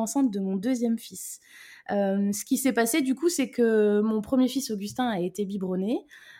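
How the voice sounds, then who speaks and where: A woman talks at a moderate pace in a fairly high, somewhat breathy voice with a dark, mellow tone. Her loudness swings widely. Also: very clean recording, silent background. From Brittany, France. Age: 30s. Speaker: mother and business owner. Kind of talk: casual interview chat.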